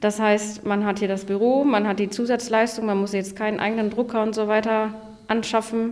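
Against noticeable background noise, a woman speaks at a moderate pace in a fairly high pitch, her intonation monotone and flat. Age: 20s. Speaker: office park manager. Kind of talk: casual interview.

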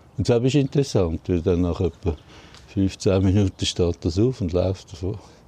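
A man with a very deep, low pitch, a dark, mellow tone, somewhat breathy, with ordinary pitch variation at a moderate pace. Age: old. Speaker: deer park keeper. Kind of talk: casual interview. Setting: outdoors.

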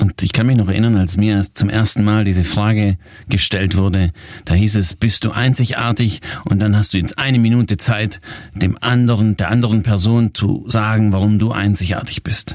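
A plain, everyday voice from a man, fairly low in pitch, with fairly even intonation, very even loudness and a moderate pace. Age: 40s. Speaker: success coach and podcast host. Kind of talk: coaching podcast talk.

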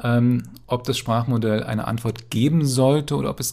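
Over a silent background in a very clean recording, a man speaks at a medium pitch and moderate pace with fairly even intonation. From Berlin, eastern Germany. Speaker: computer science professor. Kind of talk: interview. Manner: hesitant, many fillers.

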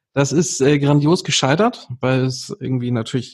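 A man's medium-pitched, somewhat breathy voice at a moderate pace. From northern Germany, near Hamburg. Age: 30s. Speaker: amateur golfer and Instagram creator. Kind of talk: casual interview chat.

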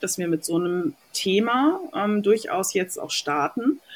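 Lively intonation at a very slow pace. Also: woman. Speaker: podcast host. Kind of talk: casual chat.

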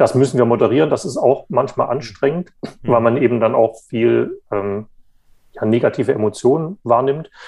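The speaker's tone is dark and mellow, with ordinary pitch variation and a moderate pace. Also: man, medium pitch for a man. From eastern Germany, Saxony. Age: 30s. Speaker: journalist, magazine editor. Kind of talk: interview. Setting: remote call. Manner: hesitant, many fillers.

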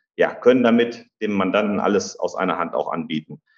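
Speaking at a fairly quick pace, a man uses a normal speaking voice at medium pitch with fairly even intonation. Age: 30s. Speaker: tax advisor and auditor. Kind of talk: interview. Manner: many filler sounds (äh, ähm).

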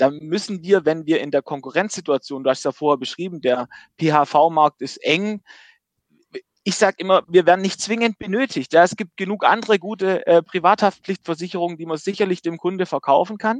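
The recording is dry and close with no echo as a man with a high pitch speaks fairly quickly, his pitch varying in an ordinary way. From Baden-Württemberg. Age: 30s. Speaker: insurance company managing director. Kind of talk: interview.

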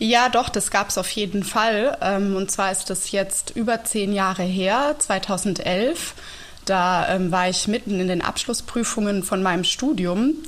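Here a woman is talking at a fairly slow pace. Her pitch variation is ordinary. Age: 30s. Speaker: teacher and yoga teacher. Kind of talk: casual interview. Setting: video call. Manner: calm and clear.

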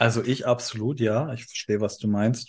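A man with a plain, everyday voice speaks at a medium pitch and a fairly slow pace over a quiet background. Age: 30s. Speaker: podcast co-host. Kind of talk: casual chat.

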